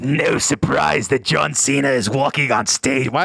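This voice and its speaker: A man puts on a raspy character voice. It stays at a medium pitch and a moderate pace. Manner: sinister.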